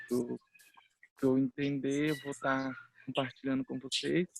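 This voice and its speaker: The recording sounds dry and close, without any echo. A man talks very slowly. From Mato Grosso, Brazil (Bororo village). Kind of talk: self-introduction in panel discussion.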